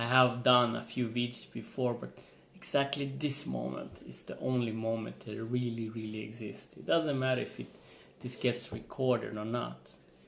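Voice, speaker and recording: A man with a medium-pitched voice talks at a moderate pace with fairly even intonation, and the room echo is audible. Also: big swings in loudness. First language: not English. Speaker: motivational vlogger. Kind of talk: motivational vlog monologue. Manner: halting, repeats words.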